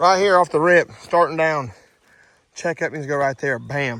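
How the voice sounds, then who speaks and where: This man's voice sits fairly high in pitch with ordinary variation. He speaks at a fairly slow pace. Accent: Southern US. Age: 30s. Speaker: dirt contractor. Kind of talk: on-site tutorial. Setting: outdoors on a job site. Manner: casual, animated.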